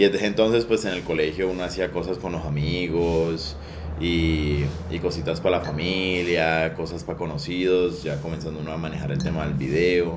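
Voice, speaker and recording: The intonation stays fairly even at a moderate pace. Audible room echo and noticeable background noise fill the recording. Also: man, very deep, low pitch for a man. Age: 20s. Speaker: sound recordist for film. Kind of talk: interview. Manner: hesitant, many fillers.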